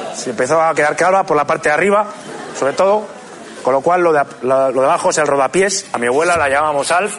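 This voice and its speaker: Over noticeable background noise, a man with a fairly high pitch rattles along at a very fast pace, his pitch varying in an ordinary way and his loudness very even. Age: 30s. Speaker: comedian. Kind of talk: stand-up. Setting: stage with audience. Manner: halting.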